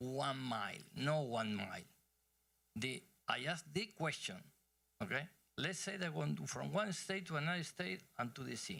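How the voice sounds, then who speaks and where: This man has a fairly high pitch, a bright, sharp tone and vocal fry, with very wide pitch swings. He talks at a moderate pace and leaves long, frequent pauses. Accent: Spanish. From Argentina. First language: Spanish. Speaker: energy executive. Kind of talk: conference Q&A and talk.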